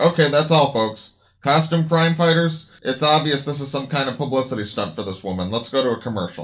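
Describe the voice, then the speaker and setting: On a very clean recording with a silent background, a man speaks in a plain, everyday voice at a fairly quick pace and fairly high pitch, with lively intonation and hardly any pauses. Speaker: radio host character voiced in the story. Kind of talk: acted dialogue in a radio show parody.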